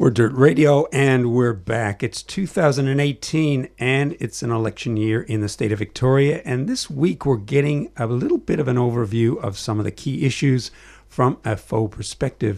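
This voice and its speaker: A man with a Canadian accent and a plain, everyday voice speaks at medium pitch and a moderate pace with ordinary pitch variation, in a very clean recording with a silent background. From Canada, Toronto. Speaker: community radio host. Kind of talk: radio talk show. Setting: studio.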